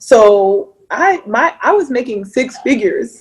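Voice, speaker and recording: With an American accent, a woman talks at a very slow pace in a high voice that makes very wide pitch swings. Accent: Mississippi accent, usually turned off. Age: 30s. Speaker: entrepreneur. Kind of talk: casual chat. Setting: video call.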